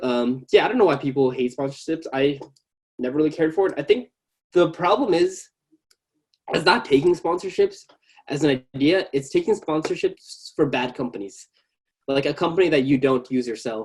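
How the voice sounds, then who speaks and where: With an American accent, a man talks at a moderate pace and a fairly high pitch. His intonation is lively, broken by long, frequent pauses. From US, Bangladeshi family. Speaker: tech YouTuber. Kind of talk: casual chat. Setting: video call.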